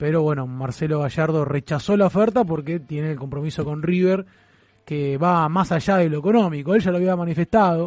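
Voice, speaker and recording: In a plain, everyday voice, a man talks at a moderate pace, his pitch fairly high and its variation ordinary. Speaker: football fan radio co-host. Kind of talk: casual sports talk radio; quiz hosting. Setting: studio.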